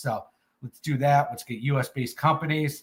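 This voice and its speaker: A man speaks at a medium pitch and a fairly quick pace. His voice is somewhat breathy, with fairly even intonation. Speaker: crypto space co-host. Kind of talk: casual chat. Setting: live audio space.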